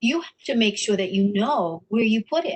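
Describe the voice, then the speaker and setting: A woman's fairly high-pitched voice, a plain, everyday voice. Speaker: workshop instructor. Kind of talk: webinar tutorial.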